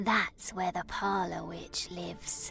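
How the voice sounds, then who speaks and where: A put-on character voice, female-sounding, at a fairly slow pace over clear music in the background. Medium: game stream. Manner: polite, gossipy.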